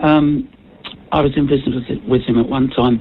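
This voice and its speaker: A woman with a very deep, low pitch talks at a moderate pace with ordinary pitch variation. Noticeable background noise is present. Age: 80s+. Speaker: caller to talkback radio. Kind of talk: phone-in call to radio. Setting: phone line. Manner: hesitant, many filler sounds.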